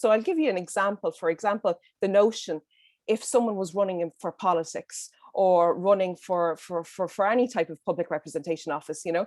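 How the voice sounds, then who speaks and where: A woman with a Dublin accent speaks at medium pitch and a moderate pace, her sound dry and close with no echo against a quiet background. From Ireland, Dublin. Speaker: panelist. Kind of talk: roundtable discussion. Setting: video call. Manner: halting, many fillers.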